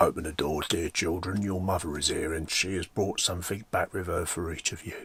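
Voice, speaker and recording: Putting on a character voice, a man speaks raspily at a very deep, low pitch and fairly quick pace on a very clean recording with a silent background. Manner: deceptive, coaxing.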